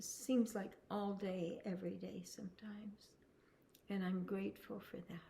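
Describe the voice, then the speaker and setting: Her pitch medium and her intonation fairly even, a woman speaks at a moderate pace with vocal fry. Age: 70s. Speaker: spiritual teacher. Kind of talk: spiritual talk.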